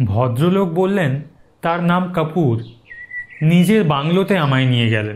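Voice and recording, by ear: At a fairly slow pace, a man with a fairly high pitch and slightly mellow tone speaks with lively intonation.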